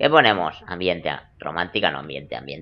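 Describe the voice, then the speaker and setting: A man talks at a moderate pace. His voice carries vocal fry. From Spain. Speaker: gaming youtuber. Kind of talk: let's play commentary. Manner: animated. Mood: joking, playful. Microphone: headset.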